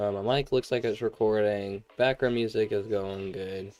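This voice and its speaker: A man speaks quietly in a fairly low voice. His pace is moderate. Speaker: gaming streamer. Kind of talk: live gameplay stream chat. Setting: home room with sleeping siblings. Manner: quiet, keeping voice down.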